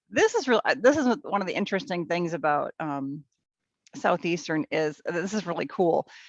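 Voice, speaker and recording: Here a woman of medium pitch speaks with an American accent at a moderate pace, her pitch swinging very widely. The sound is dry and close, with no echo. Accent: Minnesota accent, comes out on some words. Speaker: teacher and volunteer puppy raiser. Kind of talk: interview. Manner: hesitant, many fillers.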